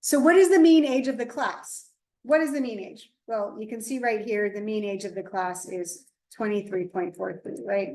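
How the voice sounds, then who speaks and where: Her voice has a dark, mellow tone and a fairly high pitch. The woman's intonation is lively, her pace moderate. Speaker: statistics instructor. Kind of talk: tutorial.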